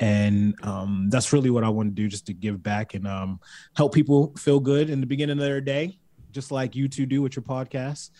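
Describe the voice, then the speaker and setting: In a Baltimore accent, a dark, mellow voice moves at a moderate pace with ordinary pitch variation over a quiet background. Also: man, medium pitch for a man. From Baltimore, US. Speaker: reality competition contestant. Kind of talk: casual chat. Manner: animated, jokey.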